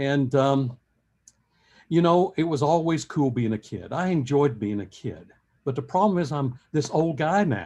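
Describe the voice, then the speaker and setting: The voice has an American accent and a dark, mellow tone. It moves at a fairly slow pace with lively intonation against a quiet background. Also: man, fairly high pitch for a man. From US South. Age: 70s. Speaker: professor. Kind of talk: lecture.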